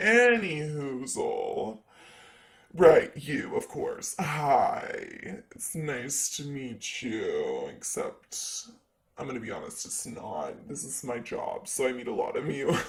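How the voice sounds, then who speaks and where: Put-on character voice from a man, fairly slow in pace. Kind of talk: ASMR roleplay. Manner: sassy.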